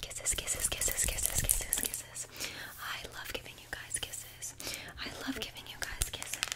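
A soft-spoken woman whispering at a moderate pace. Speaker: ASMR creator. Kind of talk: soft ASMR roleplay talk. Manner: soft close-mic ASMR whisper. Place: home room. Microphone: studio mic.

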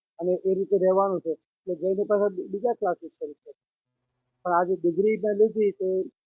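A man with a high pitch, fairly even intonation and big swings in loudness. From India, Gujarat (Anand district). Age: 80s+. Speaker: retired computer engineer, student. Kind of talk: interview. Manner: halting.

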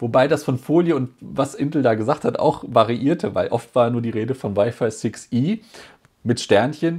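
A man speaks at a medium pitch with lively intonation against a quiet background. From Germany. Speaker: tech YouTuber; tech youtuber. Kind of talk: casual vlog report. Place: home room.

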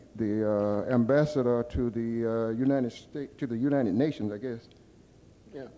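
With a Southern US accent, a man talks at a moderate pace with ordinary pitch variation. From US South. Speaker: audience member. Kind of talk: audience question. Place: hall. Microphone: podium.

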